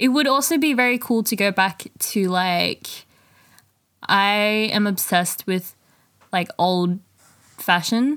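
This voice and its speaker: A very slow, medium-pitched woman with long, frequent pauses and very even loudness, on a very clean recording with a silent background. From Southeast Asia. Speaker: podcast co-host. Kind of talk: casual chat.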